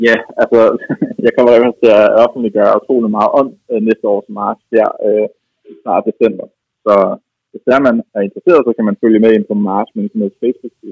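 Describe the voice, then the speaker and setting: A man speaks at a moderate pace with long, frequent pauses. The sound is dry and close, with no echo. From Denmark, Copenhagen area. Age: 30s. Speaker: lonely man sharing his story. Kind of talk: phone interview. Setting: phone call. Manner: halting, many repetitions.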